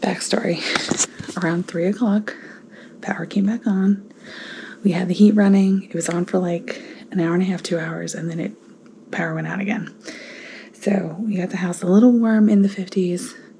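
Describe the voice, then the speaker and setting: Over noticeable background noise, a woman with an American accent speaks with long, frequent pauses. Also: medium pitch for a woman, moderate pace. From northern US. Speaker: family vlogger. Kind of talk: casual vlog talk. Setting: at home. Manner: whispering.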